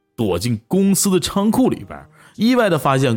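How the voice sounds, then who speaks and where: Speaking at a moderate pace, a man uses a high pitch and a Northeastern Chinese accent. His pitch swings very widely. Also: very clean recording, silent background. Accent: Northeastern Mandarin. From Northeast China, Tieling. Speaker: online audio streamer. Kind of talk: personal storytelling. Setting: livestream.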